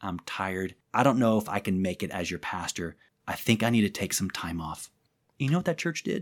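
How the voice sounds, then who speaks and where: An animated man with an American accent talks at a moderate pace with very wide pitch swings, in a very clean recording with a silent background. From southern Illinois. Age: 40s. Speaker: pastor and prayer ministry leader. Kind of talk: interview conversation.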